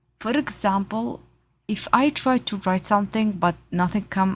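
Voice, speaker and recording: The voice is somewhat breathy, with ordinary pitch variation. The recording is very clean, with a silent background. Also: woman. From Saudi Arabia. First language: Arabic. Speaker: artist. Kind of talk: casual vlog talk. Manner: halting.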